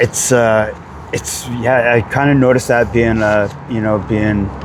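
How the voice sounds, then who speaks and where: The speaker talks at a fairly slow pace with fairly even intonation. Noticeable background noise runs underneath. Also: man. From Vancouver, Canada. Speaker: cover band singer. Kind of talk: casual interview. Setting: outdoors.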